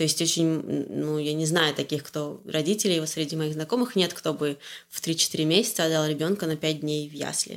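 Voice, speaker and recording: Her voice sits very deep and low in pitch. The audio is very clean, and the background is silent. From Russia, Orenburg region. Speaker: growth hacker, agency partner. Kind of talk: casual interview. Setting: home kitchen. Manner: hesitant, many filler sounds.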